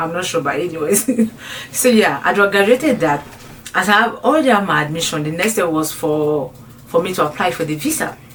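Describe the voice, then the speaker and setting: A woman at a fairly low pitch with lively intonation and a fairly quick pace, over noticeable background noise. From French-speaking country. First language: French. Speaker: YouTuber. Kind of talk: casual vlog storytelling. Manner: halting.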